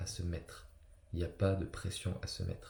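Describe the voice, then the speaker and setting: His voice is very deep and low, with a dark, mellow tone and a somewhat breathy quality. The man talks at a fairly quick pace. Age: 30s. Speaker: personal development coach. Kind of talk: motivational talk. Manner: halting, many fillers.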